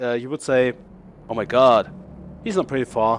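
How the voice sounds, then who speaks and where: At a moderate rate, a man talks with a German accent. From Germany. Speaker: gaming YouTuber. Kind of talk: gameplay showcase commentary. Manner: halting, many fillers and restarts.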